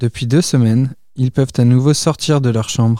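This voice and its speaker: A man with a medium pitch and a dark, mellow tone is recorded with a dry, close sound and no echo. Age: 20s. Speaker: civic service volunteer, care home activity assistant. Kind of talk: scripted narration.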